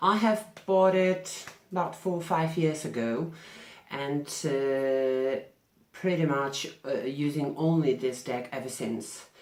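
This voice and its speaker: A woman with a very deep, low pitch and a non-native accent, at a very slow pace with ordinary pitch variation. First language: not English. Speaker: tarot reader. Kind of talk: vlog answering questions. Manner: halting.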